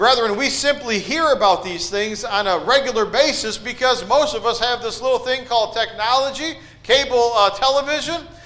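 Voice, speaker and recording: Amid noticeable background noise and audible room echo, a man with an extremely high pitch projects a raised voice with ordinary pitch variation and hardly any pauses. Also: moderate pace. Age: 40s. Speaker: preacher. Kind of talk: sermon. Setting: church.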